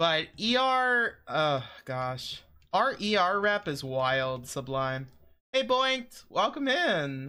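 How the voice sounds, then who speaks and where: A man's high-pitched voice has a bright, sharp tone and swings very widely in pitch. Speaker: gaming streamer. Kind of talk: casual chat. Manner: mellow.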